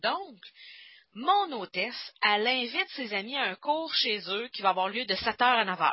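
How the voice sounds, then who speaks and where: A woman with a Quebec accent, fairly high in pitch, at a fairly slow pace with very wide pitch swings. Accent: Québécois French. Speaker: stamping product demonstrator and trainer. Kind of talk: online workshop lecture. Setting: group Skype call. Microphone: reverb on the call.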